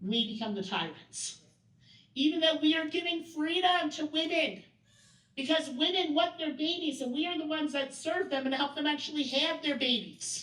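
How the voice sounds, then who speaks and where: A woman with a high pitch talks loudly at a moderate pace, her pitch varying in an ordinary way, with audible room echo around her. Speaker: workshop presenter. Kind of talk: training workshop talk. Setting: event room with audience.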